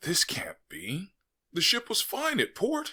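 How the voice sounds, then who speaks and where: Using a put-on character voice, a man speaks fairly slowly at an extremely high pitch. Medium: read story. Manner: disjointed, repetitive.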